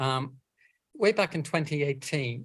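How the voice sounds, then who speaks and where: A man talks at a fairly quick pace, his voice somewhat breathy and his intonation fairly even. The recording is very clean, with a silent background. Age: 60s. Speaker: environmental campaigner and author. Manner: halting.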